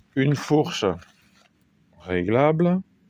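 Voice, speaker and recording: Recorded with a dry, close sound and no echo, a man's voice moves in very wide pitch swings. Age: 50s. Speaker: amateur video maker. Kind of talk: casual product show-and-tell. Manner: hesitant, many fillers.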